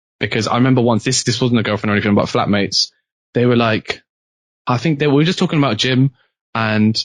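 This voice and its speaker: A man with a British accent talks at a very fast pace with long, frequent pauses and very even loudness, in a dry, close sound with no echo against a quiet background. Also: medium pitch for a man, ordinary pitch variation. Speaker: university student. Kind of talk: casual chat. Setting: podcast.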